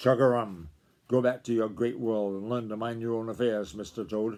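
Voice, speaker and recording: Over a quiet background, a man puts on a gruff character voice at medium pitch, speaking at a moderate pace. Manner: angry.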